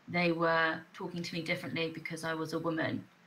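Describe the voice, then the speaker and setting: A woman with a southern English accent speaks at a moderate pace in a fairly low pitch, with a bright, sharp tone and fairly even intonation. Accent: soft southern English. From southern England, Hampshire. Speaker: online English teacher. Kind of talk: casual chat.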